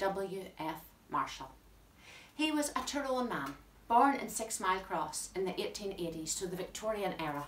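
A woman talks at a moderate pace with audible room echo. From Northern Ireland. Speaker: poetry presenter. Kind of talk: talk on a poet's life and work. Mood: warm, friendly. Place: home room. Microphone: camera far.

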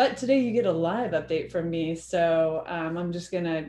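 Audible room echo surrounds a woman's dark, mellow voice. Her pitch is fairly low with ordinary variation. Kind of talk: meeting presentation. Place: home room. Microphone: video call.

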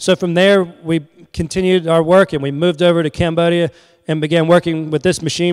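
Against a quiet background, a man talks at a fairly quick pace and a fairly high pitch, his intonation monotone and flat. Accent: American. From North and South Carolina. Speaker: humanitarian nonprofit founder; guest lecturer. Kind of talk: lecture. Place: church. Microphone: handheld.

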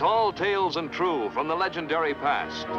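Clear music plays in the background as speech comes at a fairly slow pace, with a dry sound with no echo. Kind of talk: TV show announcer intro. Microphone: old recording.

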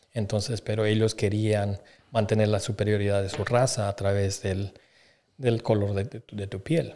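A man talks at a moderate pace in a dark, mellow tone. Light background noise is present. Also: fairly low pitch for a man. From Bolivia. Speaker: podcast guest. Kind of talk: casual chat; casual podcast conversation. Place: studio. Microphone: studio mic.

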